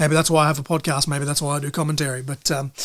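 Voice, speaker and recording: A man is speaking. He has an Australian accent. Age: 30s. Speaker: podcast host and wrestling commentator. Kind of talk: podcast outro monologue. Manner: fast; animated.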